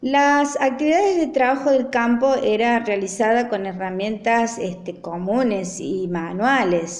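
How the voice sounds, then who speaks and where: A woman speaks at a fairly slow pace with hardly any pauses. Her fairly high voice carries lively intonation. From Argentina, Traslasierra (Córdoba). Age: 60s. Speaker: interviewee recounting rural memories. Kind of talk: personal recollection. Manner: frequent hesitations (eh).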